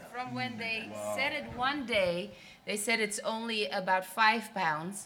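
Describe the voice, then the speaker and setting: A woman with a nervous tone talks at a moderate pace and medium pitch, with audible room echo. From Netherlands. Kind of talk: prophetic word over a couple at a church service. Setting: church. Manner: halting, with nervous laughs.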